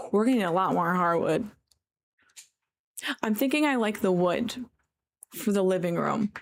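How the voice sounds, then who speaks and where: With an American accent, a woman speaks at a medium pitch with very even loudness, ordinary pitch variation and long, frequent pauses. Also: moderate pace. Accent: New York accent noticed by Californians. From New York. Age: 20s. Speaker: game streamer. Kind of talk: casual chat. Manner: casual, filler-heavy.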